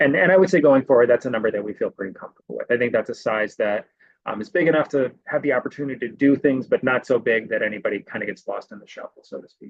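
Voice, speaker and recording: Talking at a very fast pace with hardly any pauses, a man shows big swings in loudness. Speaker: program director. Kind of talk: webinar presentation.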